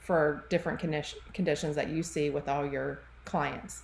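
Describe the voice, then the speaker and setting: A woman with a Southern US accent. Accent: Southern drawl. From US South, Charlotte, North Carolina. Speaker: podcast host, health practitioner. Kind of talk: casual interview chat. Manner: animated.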